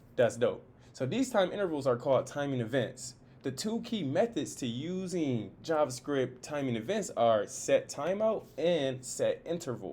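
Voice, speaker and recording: This man's pitch is fairly high and swings very widely. He talks at a moderate pace. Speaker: coding tutor. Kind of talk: tutorial. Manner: casual, unedited with restarts.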